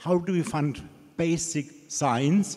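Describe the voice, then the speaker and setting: With a German accent, a man speaks using ordinary pitch variation. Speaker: audience member, Alzheimer's researcher. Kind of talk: audience question.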